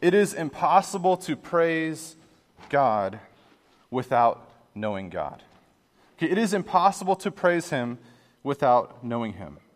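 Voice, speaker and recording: A man speaks at a fairly slow pace with a fairly high pitch and long, frequent pauses. His pitch swings very widely and his loudness shifts in big swings. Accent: American. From Pittsburgh, US. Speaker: pastor. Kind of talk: sermon. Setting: church.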